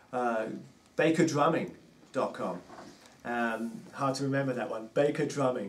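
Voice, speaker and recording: In a London accent, a man speaks at a moderate pace with long, frequent pauses amid audible room echo. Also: medium pitch for a man, ordinary pitch variation. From England, London. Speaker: drummer and drum teacher. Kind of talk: casual interview chat.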